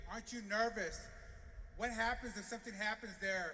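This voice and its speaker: Raising and projecting his voice over noticeable background noise, a man speaks at a high pitch and a moderate pace in a flat monotone. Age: 50s. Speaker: business association leader. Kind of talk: rally speech.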